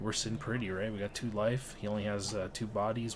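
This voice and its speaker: A man is speaking. There is audible room echo. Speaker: card game player and content creator. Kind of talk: gameplay voiceover commentary. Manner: casual, filler-heavy.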